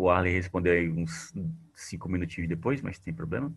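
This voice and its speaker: Very deep and low in pitch, a man's voice moves at a moderate pace with ordinary pitch variation. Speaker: teacher. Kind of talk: online class tutorial on spreadsheets. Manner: casual, conversational.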